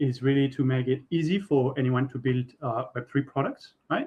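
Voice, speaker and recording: A man speaks with a French accent. His voice is fairly high-pitched, with fairly even intonation. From France. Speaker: software architect. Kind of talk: tech workshop presentation. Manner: halting, many fillers and repeats.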